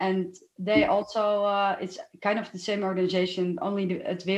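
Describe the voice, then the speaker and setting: A woman speaks at a moderate pace in a medium pitch with a Dutch accent. Her intonation is monotone and flat. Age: 30s. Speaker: lawyer. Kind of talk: interview.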